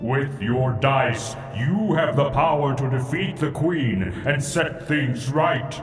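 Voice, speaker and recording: A man's put-on character voice at medium pitch and a fairly slow pace, with very even loudness, hardly any pauses, slight echo and clear music in the background. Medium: machinima. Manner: cryptic, solemn.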